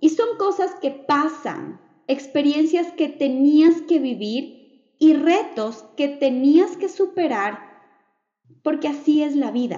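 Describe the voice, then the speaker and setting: A woman at a high pitch, at a very slow pace. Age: 30s. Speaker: podcast host, digital entrepreneur. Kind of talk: motivational monologue.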